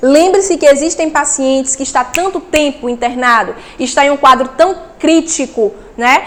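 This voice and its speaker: A woman speaks at a moderate pace in a high, animated tone. Noticeable background noise is present. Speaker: nursing instructor. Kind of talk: lecture.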